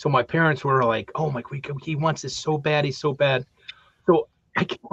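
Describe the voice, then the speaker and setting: An unremarkable speaking voice, a man's at a fairly high pitch, moves at a moderate pace with fairly even intonation, dry and close with no echo. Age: 60s. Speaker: talk show co-host. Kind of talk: casual chat.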